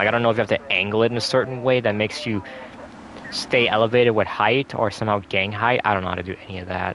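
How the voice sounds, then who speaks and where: Talking at a very fast pace, a man with a fairly low pitch keeps his intonation fairly even amid noticeable background noise. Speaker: gaming streamer. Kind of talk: casual chat. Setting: live stream. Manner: stutters at times; halting.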